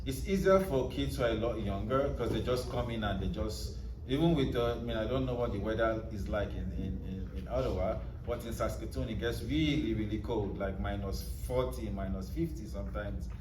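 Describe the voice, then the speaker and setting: A man's fairly quick speech picks up audible room echo, and noticeable background noise sits underneath. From Nigeria. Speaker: author. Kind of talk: book club interview.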